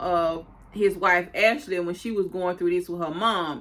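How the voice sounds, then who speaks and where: A woman speaks at a fairly slow pace in a medium-pitched, bright, sharp tone with ordinary pitch variation. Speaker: YouTube TV recapper. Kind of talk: casual recap commentary.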